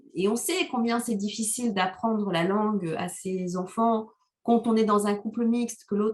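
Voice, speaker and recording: Her voice fairly high in pitch, a woman speaks at a moderate pace with ordinary pitch variation. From Rwanda. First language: Kinyarwanda (speaking French). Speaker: novelist. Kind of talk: interview. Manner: hesitant, many fillers.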